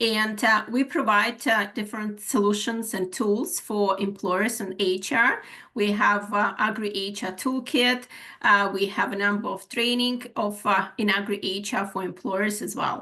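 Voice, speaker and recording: A woman with a Ukrainian accent speaks at a fairly slow pace in a medium pitch, with a bright, sharp tone and fairly even intonation. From Ukraine. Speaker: HR manager and webinar presenter. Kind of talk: webinar presentation. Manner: halting, many fillers.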